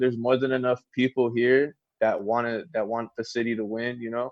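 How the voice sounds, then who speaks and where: A man with an American accent and an unremarkable speaking voice, medium-pitched, at a moderate pace, in a dry, close sound with no echo. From California, Los Angeles. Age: 20s. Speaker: rapper. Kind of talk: casual chat.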